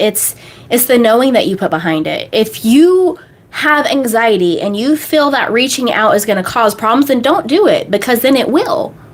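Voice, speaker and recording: A woman with an American accent talks in a high pitch with very wide swings and an animated tone. Noticeable background noise sits behind her. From United States. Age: 30s. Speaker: manifestation coach. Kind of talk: live stream Q&A. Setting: live stream.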